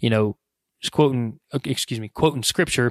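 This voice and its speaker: In a very clean recording with a silent background, a man with an unremarkable speaking voice at medium pitch talks at a fairly quick pace with fairly even intonation. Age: 30s. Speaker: podcast host. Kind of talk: casual monologue. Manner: casual, with filler words.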